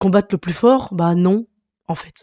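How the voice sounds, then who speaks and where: A man's high-pitched voice at a moderate pace, on a very clean recording with a silent background and a dry, close sound with no echo. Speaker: youtuber, series reviewer. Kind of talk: casual video review. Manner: casual, hesitant with many fillers.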